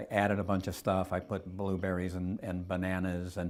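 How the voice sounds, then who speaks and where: A man with a very deep, low voice speaks in a flat monotone at a moderate pace, recorded very cleanly against a silent background. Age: 70s. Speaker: cancer survivor sharing health story. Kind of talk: testimony. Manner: halting, many repeated words and fillers; earnest.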